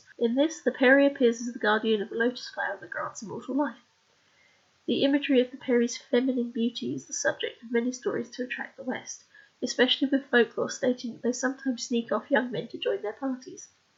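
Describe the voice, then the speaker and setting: This woman talks very fast and soft-spoken. Her pitch is high, with ordinary variation. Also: big swings in loudness. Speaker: author. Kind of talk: scripted narration of own research. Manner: quiet, soft-spoken.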